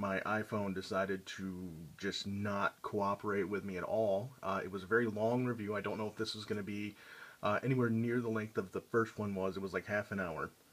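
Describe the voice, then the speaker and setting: This man talks at a fairly quick pace. His fairly low voice stays monotone and flat. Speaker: collectibles reviewer. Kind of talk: product review vlog. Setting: collection room at home. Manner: casual, hesitant with many fillers.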